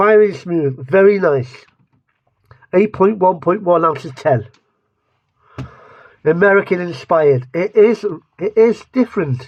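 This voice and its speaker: A man with an English accent, high in pitch, lively in intonation, fairly slow, with long, frequent pauses. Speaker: food reviewer. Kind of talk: casual taste-test review to camera. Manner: rambling, self-interrupting.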